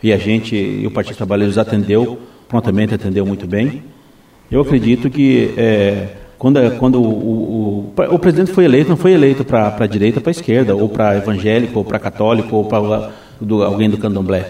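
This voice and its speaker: This man speaks with a fairly low pitch and ordinary pitch variation. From Brazil, Foz do Iguaçu (Paraná). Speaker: municipal guard and vice-mayor candidate. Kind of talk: radio interview. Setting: radio studio. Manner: halting, many repetitions.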